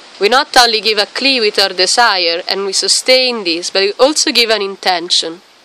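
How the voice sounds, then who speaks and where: At a moderate pace with hardly any pauses, a woman speaks at medium pitch with ordinary pitch variation. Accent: non-native. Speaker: qigong and Taoist practice teacher. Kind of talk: tutorial. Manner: halting.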